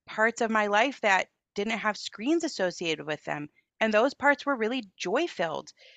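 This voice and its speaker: Using an unremarkable speaking voice, a woman with an American accent talks at a moderate pace. Her fairly high pitch carries lively intonation. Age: 40s. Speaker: author and parenting movement founder. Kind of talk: interview conversation.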